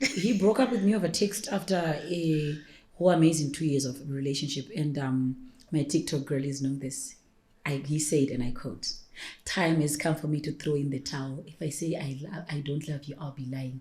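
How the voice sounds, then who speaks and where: Her voice very deep and low, a woman speaks with a dark, mellow tone, a somewhat breathy quality and ordinary pitch variation. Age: 30s. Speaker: personal stylist and entrepreneur. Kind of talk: podcast interview. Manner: fast.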